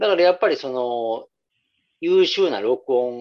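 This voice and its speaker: A man with a Kansai accent. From Nara, Japan (Kansai). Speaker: music podcast co-host. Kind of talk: casual chat.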